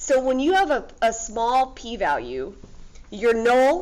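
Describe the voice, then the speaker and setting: With audible room echo, a woman talks at a very slow pace in a fairly high pitch with lively intonation. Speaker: high school statistics teacher. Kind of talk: lecture.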